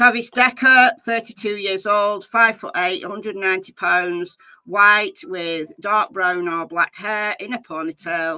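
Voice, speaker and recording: A woman with a British accent, medium pitch, and ordinary pitch variation, her tone bright and sharp, at a fairly slow pace with hardly any pauses, in a dry, close sound without echo. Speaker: true crime YouTuber. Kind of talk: live stream commentary. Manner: loud; casual, chatty.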